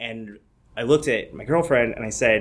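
A man with a Midwestern US accent speaks at a moderate pace and medium pitch with ordinary pitch variation. Audible room echo can be heard. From Michigan. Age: 20s. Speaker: comedian. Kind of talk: live storytelling. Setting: stage with audience.

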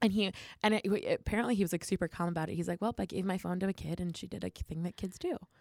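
In a very clean recording with a silent background and a dry, close sound with no echo, a woman speaks very fast at medium pitch, with fairly even intonation and vocal fry. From New Jersey, Philadelphia area. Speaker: improv comedian. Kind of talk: casual chat.

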